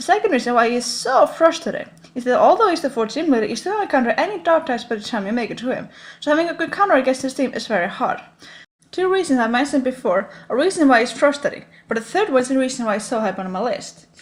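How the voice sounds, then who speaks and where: A woman speaks very fast in a robotic, high-pitched voice. Her pitch swings very widely. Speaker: gaming YouTuber. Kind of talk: scripted top 10 commentary. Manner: stiff, robotic delivery.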